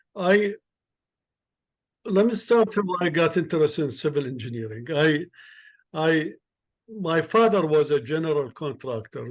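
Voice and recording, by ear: At a fairly slow pace, a man talks with lively intonation and a fairly high pitch.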